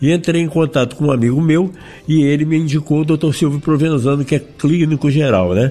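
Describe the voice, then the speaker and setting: Speaking at a fairly quick pace, a man with a fairly high pitch and a dark, mellow tone keeps his loudness very even and his pitch variation ordinary. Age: 60s. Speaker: zika survivor sharing experience. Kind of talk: interview testimony.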